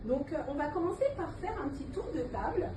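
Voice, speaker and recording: With noticeable background noise and audible room echo around her, a woman talks at a moderate pace. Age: 40s. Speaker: trainer in Montessori Arabic teaching. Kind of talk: in-person training session. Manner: hesitant, many fillers.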